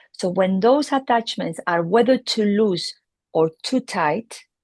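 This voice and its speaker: In a dry, close recording with no echo, a woman with a Spanish accent talks at a fairly slow pace. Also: quiet background. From Spain. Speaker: veterinary neurologist. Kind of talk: interview explanation.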